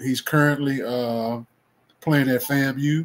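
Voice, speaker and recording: A man speaks in a Mississippi accent. His intonation is monotone and flat. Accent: Southern US (Mississippi). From US South. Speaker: football coach. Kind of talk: interview. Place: home room.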